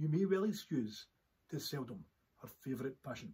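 This man speaks at a moderate pace with a fairly high pitch and lively intonation. His tone is dark and mellow, and somewhat breathy. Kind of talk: poetry reading.

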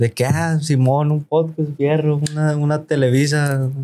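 A man speaks at a fairly slow pace in a fairly high pitch. His intonation is monotone and flat. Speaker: singer and podcaster. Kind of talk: casual chat. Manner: casual, slangy, relaxed; sometimes stutters.

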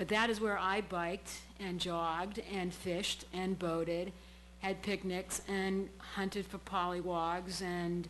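A woman with a New England accent speaks at a fairly slow pace in a medium pitch, her intonation flat and monotone, with audible room echo around her. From Massachusetts, Brockton (South Shore). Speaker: public commenter at city council. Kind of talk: public comment at council meeting. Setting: city council chamber.

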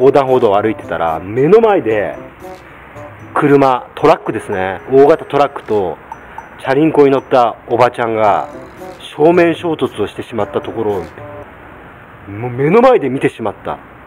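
Over music in the background, a man speaks with lively intonation and big swings in loudness. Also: moderate pace. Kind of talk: casual vlog chat, tutorial. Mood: humorous, animated storytelling. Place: farm machine. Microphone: phone near.

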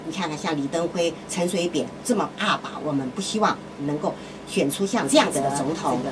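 There is noticeable background noise as a woman speaks at a moderate pace in a fairly low pitch. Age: old. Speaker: radio host. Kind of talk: radio talk monologue. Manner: frequent filler sounds. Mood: opinionated, conversational. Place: booth.

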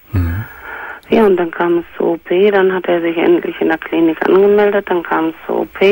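A woman talks at a moderate pace with hardly any pauses. Noticeable background noise is present. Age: 60s. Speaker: caller. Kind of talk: testimony.

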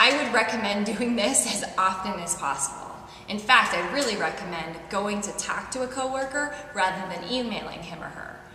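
A woman talks at a moderate pace, her loudness swinging widely. There is audible room echo and light background noise. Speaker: fitness instructor. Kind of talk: tutorial. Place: home room.

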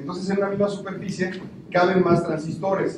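A man's high-pitched voice is heard with audible room echo. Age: 40s. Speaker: technologist; speaker. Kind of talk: talk to an audience. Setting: stage with audience. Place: stage. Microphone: handheld.

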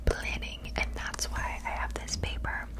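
A woman whispering at a fairly slow pace against loud background noise. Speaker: content creator. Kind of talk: casual vlog chat. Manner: close whispered rambling. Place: home room. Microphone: studio mic.

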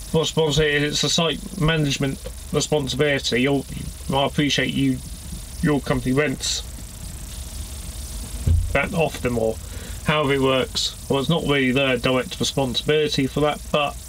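A man at a moderate pace, with long, frequent pauses, very even loudness and light background noise. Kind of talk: casual vlog chat. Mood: mildly annoyed, recounting complaint. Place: car. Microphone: phone near.

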